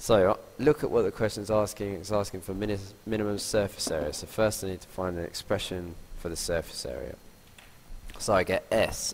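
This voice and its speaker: Talking at a moderate pace, a man uses a fairly low pitch with ordinary pitch variation. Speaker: maths teacher. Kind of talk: tutorial.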